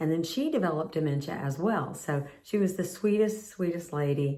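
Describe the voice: A woman speaks in a low voice with a dark, mellow tone.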